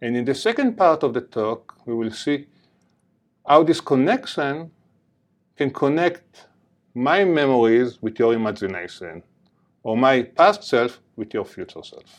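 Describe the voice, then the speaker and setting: A man with an Israeli accent talks at a fairly slow pace and medium pitch, with very wide pitch swings and long, frequent pauses. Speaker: neuroscience professor. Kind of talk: lecture.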